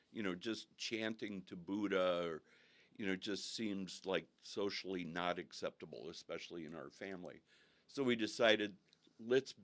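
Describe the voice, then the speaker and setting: A man with an American accent, a very deep, low pitch, ordinary pitch variation and a moderate pace. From Northern California, US. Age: 70s. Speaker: guest telling his faith story. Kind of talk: interview testimony. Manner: halting with frequent fillers.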